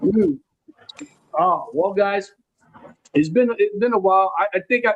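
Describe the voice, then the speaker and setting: With a New York accent, a man talks at a high pitch. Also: fairly slow pace. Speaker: podcast host. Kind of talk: casual chat. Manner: halting.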